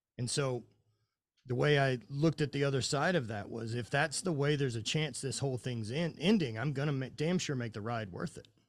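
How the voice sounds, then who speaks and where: Against a quiet background, someone with a Southern US accent talks at a fairly quick pace with ordinary pitch variation. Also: man, medium pitch for a man. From Louisiana, US South. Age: 40s. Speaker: former highland games athlete, mindset coach. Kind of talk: casual chat.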